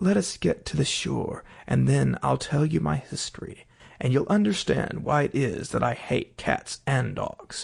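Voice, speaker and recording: Speaking at a moderate tempo, the man performs a put-on character voice. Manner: trembling with passion.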